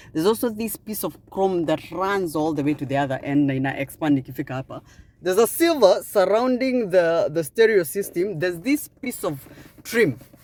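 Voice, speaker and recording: The speaker has a Kenyan accent. The pace is fairly quick. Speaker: car reviewer. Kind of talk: product review walkaround. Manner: animated.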